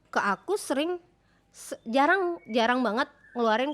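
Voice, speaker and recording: Recorded very cleanly against a silent background, a woman speaks in a high pitch with lively intonation. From Sulawesi, Indonesia. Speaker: singer and podcast co-host. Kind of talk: casual chat.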